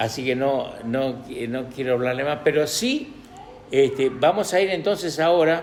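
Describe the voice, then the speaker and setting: A man talks at a fairly slow pace with a fairly high pitch and ordinary pitch variation. Noticeable background noise and audible room echo surround him. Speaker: preacher. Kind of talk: sermon. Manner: halting, many fillers.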